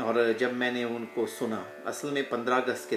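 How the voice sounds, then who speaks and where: Music plays in the background as a man speaks with a Punjabi accent. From UK. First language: Punjabi (speaking Hindi). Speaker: yoga teacher. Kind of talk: casual personal talk to camera. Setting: at home.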